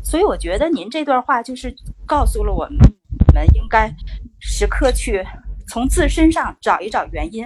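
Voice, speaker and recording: Moderate pace with long, frequent pauses over noticeable background noise. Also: woman. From Inner Mongolia, China. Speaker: communication course student. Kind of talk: practice conversation in class.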